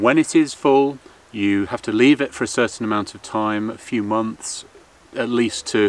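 At a moderate pace and with ordinary pitch variation, the voice sounds dry, with no echo. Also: man. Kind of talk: tutorial.

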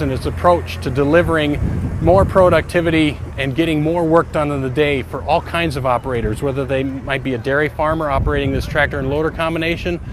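A man's fairly quick speech with hardly any pauses, dry sound with no echo, and noticeable background noise. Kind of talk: product presentation. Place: open country.

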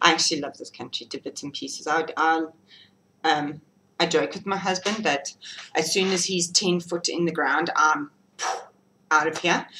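A woman speaks at a moderate pace with a fairly low pitch and a bright, sharp tone, and her loudness swings widely. She takes long, frequent pauses over light background noise. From Britain. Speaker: knitting podcaster. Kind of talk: casual vlog monologue. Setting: home recording. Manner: animated. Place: home room. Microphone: webcam.

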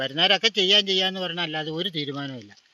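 The man's voice has a bright, sharp tone. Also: dry, close sound with no echo. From Kerala, Idukki district. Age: 70s. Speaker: villager. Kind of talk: interview.

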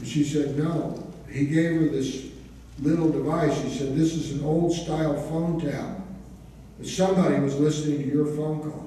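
A man's fairly high voice at a moderate pace, monotone and flat, in strong room echo. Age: 70s. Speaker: retired police investigator and UFO researcher; presenter. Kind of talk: presentation. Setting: stage with audience. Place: hall.

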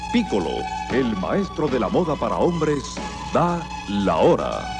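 Clear music behind a man's fairly slow delivery. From Panama. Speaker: radio announcer. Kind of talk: radio commercial read. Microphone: old recording.

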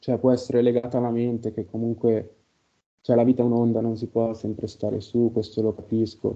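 Against a quiet background, a man of medium pitch talks at a fairly quick pace in a monotone, flat delivery. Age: 30s. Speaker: carpenter and session client. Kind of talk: casual chat. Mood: reflective, calm. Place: home room.

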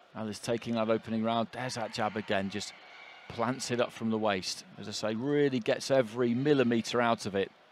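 At a fairly quick pace, a man talks in an unremarkable speaking voice with medium pitch and fairly even intonation. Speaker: boxing commentator. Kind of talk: live ringside boxing commentary with expert analysis. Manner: flowing, run-on analytical delivery between punches; measured, knowledgeable, calmly confident.

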